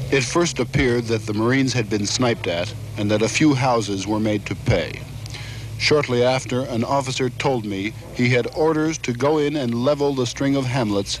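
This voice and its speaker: A man talks at a moderate pace with ordinary pitch variation, and music plays in the background. The sound is dry, with no echo. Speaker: war correspondent. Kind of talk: news report narration. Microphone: old recording.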